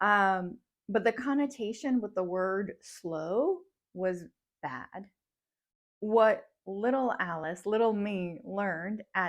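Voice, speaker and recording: At a very slow pace, a woman speaks at a medium pitch with ordinary pitch variation on a very clean recording with a silent background. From Russian-speaking childhood, moved to US at ten. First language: Russian. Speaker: psychologist and mindfulness coach. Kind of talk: personal storytelling vlog. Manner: reflective, conversational.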